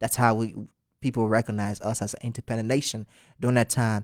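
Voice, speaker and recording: A man speaks at a medium pitch in a flat, monotone delivery. The recording is very clean and dry, close-miked with no echo and a silent background. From Liberia. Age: 20s. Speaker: singer. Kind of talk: interview. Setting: podcast.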